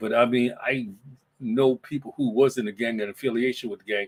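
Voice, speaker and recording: A man with a New York accent talks at a moderate pace in a medium pitch. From New York (Brooklyn). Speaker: podcast host. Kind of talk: casual solo livestream chat. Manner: halting, many fillers and repeats.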